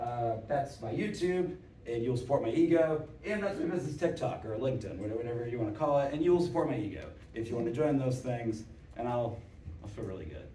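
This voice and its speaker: A man at medium pitch talking at a very fast pace, with audible room echo and noticeable background noise. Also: lively intonation. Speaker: conference speaker, operations executive. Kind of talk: conference talk. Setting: stage with audience. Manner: loud; casual.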